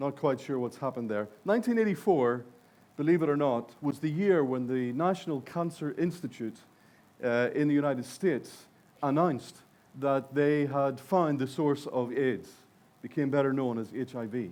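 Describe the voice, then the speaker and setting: At a moderate pace, a man with a Northern Irish accent talks at a fairly high pitch with ordinary pitch variation. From Northern Ireland. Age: 60s. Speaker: conference speaker. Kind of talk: keynote speech. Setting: stage with audience.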